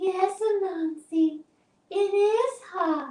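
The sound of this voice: A put-on character voice pitched extremely high.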